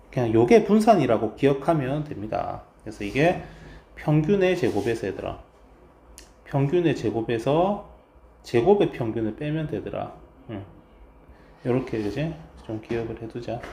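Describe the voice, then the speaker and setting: A man speaks at a moderate pace with a dark, mellow tone and a medium pitch, his pitch swinging very widely and his loudness rising and falling sharply, somewhat breathy, with long, frequent pauses and audible room echo. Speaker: math teacher. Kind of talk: lecture.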